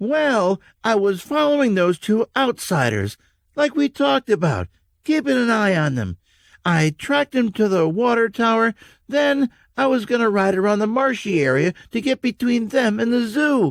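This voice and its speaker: A man's put-on character voice, high-pitched for a man, with lively intonation at a moderate pace, in a very clean recording with a silent background and a dry, close sound without echo. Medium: read story.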